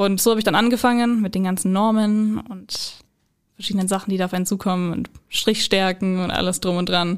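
A woman speaks very fast with a medium pitch and monotone, flat intonation, on a very clean recording with a silent background. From Bavaria, Oberallgäu (Immenstadt). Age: young (19). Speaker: apprentice technical product designer. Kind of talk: interview.

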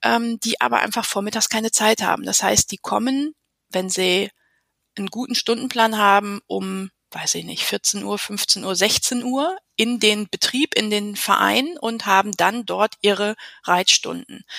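A woman speaks in a plain, everyday voice, fairly high in pitch with ordinary pitch variation, at a fairly slow pace. The recording is very clean and silent in the background, with a dry, close sound and no echo. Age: 40s. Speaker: riding instructor and coach educator. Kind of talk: interview.

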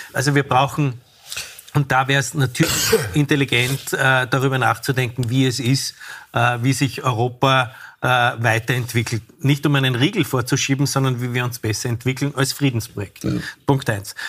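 This man has an ordinary speaking voice at a medium pitch, with fairly even intonation and a moderate pace. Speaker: restaurateur and former politician. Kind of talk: TV panel discussion.

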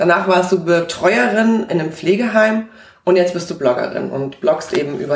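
A woman's fairly low voice carries lively intonation at a moderate pace, with noticeable background noise behind her. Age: 40s. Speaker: podcast host. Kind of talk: interview.

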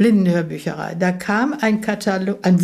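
At a very slow pace, a woman speaks in a somewhat breathy voice, her pitch varying in an ordinary way. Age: 80s+. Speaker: interviewee with macular degeneration. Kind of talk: interview. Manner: hesitant, many fillers.

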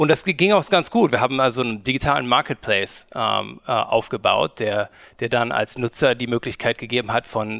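Showing vocal fry, a man with a medium pitch and ordinary pitch variation speaks at a moderate pace in a very clean, dry, close recording with a silent background and no echo. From Germany, Cologne. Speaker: media company founder. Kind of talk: interview. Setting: studio. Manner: halting.

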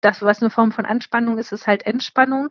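With a dry, close sound and no echo, a woman speaks at a fairly high pitch in a monotone, flat intonation. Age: 30s. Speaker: psychotherapist. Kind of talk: interview. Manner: hesitant, many filler sounds.

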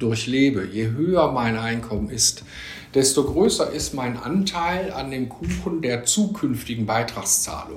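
Amid noticeable background noise and audible room echo, a man at medium pitch speaks at a very slow pace with lively intonation. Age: 50s. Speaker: economist. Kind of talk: interview.

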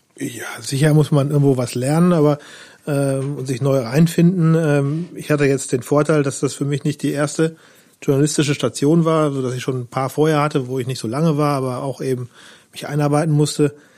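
With a plain, everyday voice, a man speaks at a fairly high pitch and a moderate pace with fairly even intonation. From western Germany, Lower Rhine and Münsterland. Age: 40s. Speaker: newspaper reporter. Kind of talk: casual interview chat.

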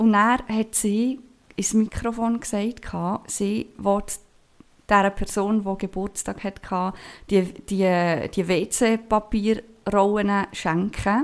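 The recording is very clean, with a silent background. A woman talks very slowly with fairly even intonation and long, frequent pauses. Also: medium pitch for a woman. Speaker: podcast host. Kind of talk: casual chat.

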